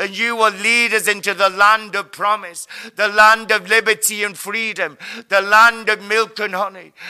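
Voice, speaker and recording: A man's high, raised, projected voice in a monotone, flat intonation, amid noticeable background noise. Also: moderate pace. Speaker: prayer leader. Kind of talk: group prayer session; fervent intercessory prayer with spiritual warfare declarations. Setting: online video broadcast. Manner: fervent, declarative, commanding.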